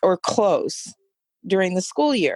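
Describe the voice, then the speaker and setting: A woman's voice in a dry, close sound with no echo. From United States. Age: 60s. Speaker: substitute teacher. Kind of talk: casual interview chat.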